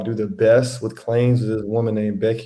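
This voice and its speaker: In a room with audible echo, a man with an American accent speaks in a medium pitch with a dark, mellow tone and fairly even intonation. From Louisiana and Texas. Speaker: independent insurance adjuster. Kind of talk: casual interview. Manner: casual, relaxed.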